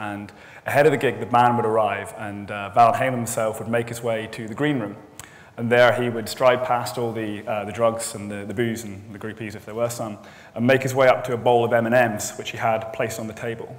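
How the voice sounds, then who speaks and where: A man talks at a fairly quick pace. His intonation stays flat and monotone. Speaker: conference speaker. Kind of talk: conference talk, storytelling. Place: hall.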